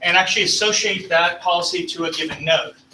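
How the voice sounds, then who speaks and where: A man talks at a fairly quick pace in a high voice with fairly even intonation. Noticeable background noise is present. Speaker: tech presenter. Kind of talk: technical presentation. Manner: fast.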